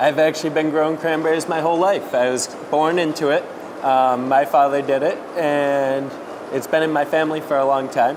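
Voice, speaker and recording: A man with a fairly high pitch and an American accent speaks in a monotone, flat way at a moderate pace, with noticeable background noise and audible room echo. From Massachusetts, Cape Cod. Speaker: cranberry farmer. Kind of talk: interview on location. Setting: on location at a pack house.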